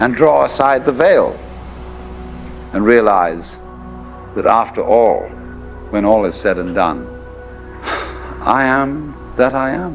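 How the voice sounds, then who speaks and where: A man is talking at a fairly slow pace. Background music plays throughout. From England. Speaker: philosopher, lecturer. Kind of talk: philosophical lecture.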